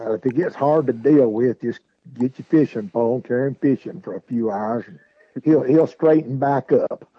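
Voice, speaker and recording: A man speaks at medium pitch with a Southern US accent. His pace is moderate. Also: ordinary pitch variation. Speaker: radio host. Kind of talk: live local sports radio talk show, reading sponsors.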